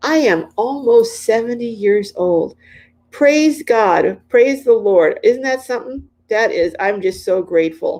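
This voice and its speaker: In a very clean recording with a silent background, a woman uses a normal speaking voice at a fairly slow pace, with fairly high pitch and ordinary pitch variation. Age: 60s. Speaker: RV lifestyle vlogger. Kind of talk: casual live-stream chat. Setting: live stream.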